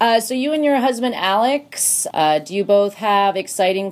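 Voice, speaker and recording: A woman with an unremarkable speaking voice talks fairly slowly at a medium pitch, her intonation lively. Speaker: radio DJ co-host. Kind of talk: radio DJ patter, interview.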